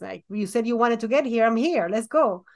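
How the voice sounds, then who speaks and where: Heard over a quiet background is a plain, everyday voice. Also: woman. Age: 40s. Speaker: children's book illustrator and podcast co-host. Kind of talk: casual chat.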